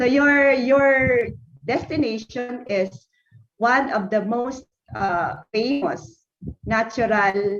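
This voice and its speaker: High-pitched woman's voice at a very slow pace with ordinary pitch variation. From Philippines. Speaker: university academic. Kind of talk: conference presentation. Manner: halting.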